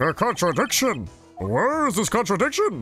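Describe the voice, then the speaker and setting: A man's high-pitched, put-on character voice over faint music in the background. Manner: indignant, challenging.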